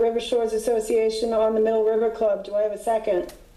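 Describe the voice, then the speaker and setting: A woman's fairly high voice at a very fast pace over noticeable background noise. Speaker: HOA board president chairing meeting. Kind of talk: board meeting.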